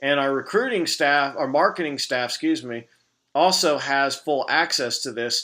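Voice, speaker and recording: On a very clean recording with a silent background, a man speaks with a bright, sharp tone. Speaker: business manager training staff. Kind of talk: recorded training video with screen walkthrough. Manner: casual, halting with fillers.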